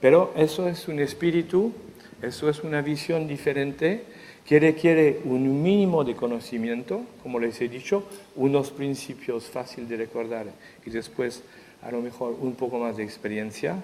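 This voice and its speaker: A man with a French accent speaks at a moderate pace, his pitch fairly high and his intonation lively. Noticeable background noise is present. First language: French (speaking Spanish). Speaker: economic intelligence expert, speaker. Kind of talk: conference talk. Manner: halting.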